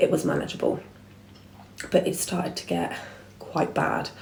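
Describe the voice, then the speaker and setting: A quiet woman with an English accent, plus audible room echo. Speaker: vlogger. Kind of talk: storytime monologue. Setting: at home, dining room.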